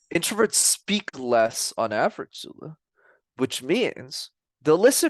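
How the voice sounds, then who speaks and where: A man's fairly high voice with vocal fry and very wide pitch swings at a very slow pace, the sound dry and close with no echo against a quiet background. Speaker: communication coach. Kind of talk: interview. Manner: loud.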